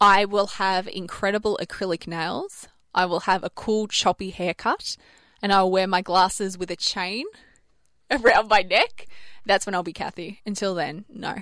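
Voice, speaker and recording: A woman speaks at a moderate pace in an Australian accent, her intonation fairly even. The recording is very clean, with a silent background. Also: medium pitch for a woman. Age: 20s. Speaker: radio host. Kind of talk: casual chat. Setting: studio.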